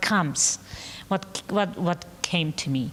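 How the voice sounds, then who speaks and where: A woman speaks in a Bosnian accent. Her pitch sits fairly low. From Bosnia, Sarajevo. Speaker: painter. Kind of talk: panel discussion. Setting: gallery talk with live audience. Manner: halting.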